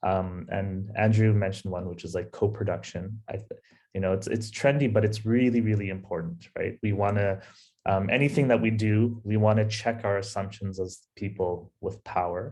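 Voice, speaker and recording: With a North American accent, a man speaks in a fairly low pitch and a dark, mellow tone. His pace is moderate, his intonation fairly even, and the background quiet. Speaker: anthropologist, researcher. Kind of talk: panel discussion. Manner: hesitant, many fillers.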